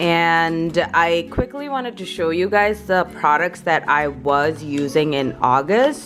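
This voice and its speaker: A woman talks very slowly with hardly any pauses, her fairly low voice rising and falling in a lively way. Music plays in the background. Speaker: beauty vlogger. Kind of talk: casual makeup vlog.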